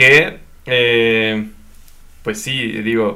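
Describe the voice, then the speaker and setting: This man's voice sits at a medium pitch. The tone comes across bright and sharp. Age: young. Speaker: podcast co-host. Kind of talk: casual chat.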